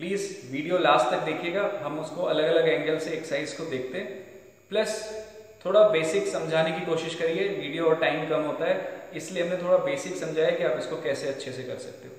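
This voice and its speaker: Strong room echo follows a man who talks at a moderate pace with a high pitch and fairly even intonation. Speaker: fitness trainer. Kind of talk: tutorial. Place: gym. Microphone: camera far.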